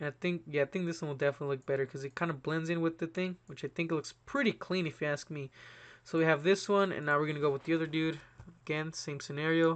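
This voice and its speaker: Speaking very fast, a man with a fairly high pitch keeps his intonation fairly even. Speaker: YouTuber. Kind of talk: tutorial. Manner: casual, fast.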